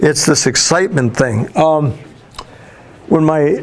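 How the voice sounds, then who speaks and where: A man's fairly high voice with ordinary pitch variation over noticeable background noise. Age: 60s. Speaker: school counselor, guest speaker to students. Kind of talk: talk to a class of students. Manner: animated, storytelling with voiced imitations.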